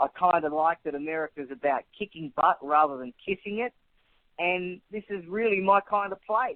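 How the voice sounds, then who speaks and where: Here a man speaks with an Australian accent. His pace is moderate and his pitch variation ordinary. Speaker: author and immigration advocate. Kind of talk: radio interview.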